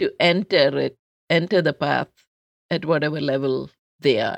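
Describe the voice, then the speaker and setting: A woman with a Keralan accent and a very deep, low pitch speaks at a moderate pace with ordinary pitch variation, in a dry, close sound with no echo. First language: Malayalam. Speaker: public health researcher and life coach. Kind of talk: interview conversation.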